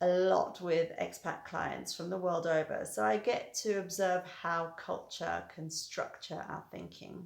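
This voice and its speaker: A woman speaks in a British accent at a medium pitch, her intonation fairly even. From Britain. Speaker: hypnotherapist. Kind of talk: educational talk to camera.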